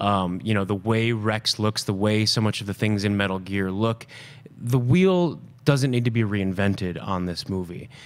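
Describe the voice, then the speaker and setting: A man speaks at a moderate pace with ordinary pitch variation. His voice sits fairly low. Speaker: film director. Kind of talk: casual interview. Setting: studio. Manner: animated. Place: studio. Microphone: studio mic.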